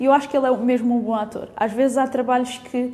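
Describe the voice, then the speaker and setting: In a European Portuguese accent, a woman speaks at a moderate pace with a high pitch and fairly even intonation. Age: 20s. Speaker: podcast host. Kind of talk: casual solo podcast monologue. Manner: hesitant, many fillers.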